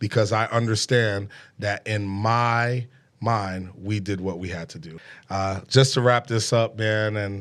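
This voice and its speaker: On a very clean recording with a silent background, a man with a fairly low pitch and fairly even intonation talks at a fairly slow pace. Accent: New York. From New York City, Brooklyn. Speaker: podcast host. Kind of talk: casual interview chat. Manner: hesitant with fillers.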